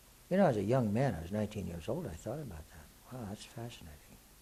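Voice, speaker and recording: A man talks in a dark, mellow tone at a fairly low pitch. His voice is somewhat breathy. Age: 60s. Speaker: spiritual author and teacher, war veteran. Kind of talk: Q&A talk to an audience. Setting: live Q&A event with audience. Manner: casual, conversational.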